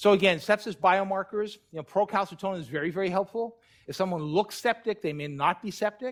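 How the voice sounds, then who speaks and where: Recorded dry and close with no echo, the speech moves at a fairly quick pace with ordinary pitch variation and big swings in loudness. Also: man, high pitch for a man. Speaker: critical care physician lecturer. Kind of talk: lecture. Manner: fast.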